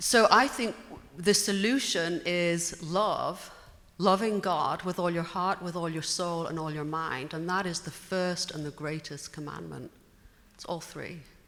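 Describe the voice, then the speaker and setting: A woman with a British accent has a fairly low voice with ordinary pitch variation. She talks at a fairly slow pace. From Britain. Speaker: audience member. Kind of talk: audience question.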